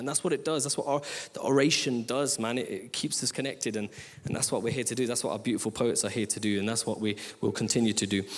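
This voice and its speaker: A man with a Midlands accent speaks at a very fast pace. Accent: Midlands twang. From Leicester, English East Midlands. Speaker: poet and rapper. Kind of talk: stage thank-yous to audience. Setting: theatre stage with audience.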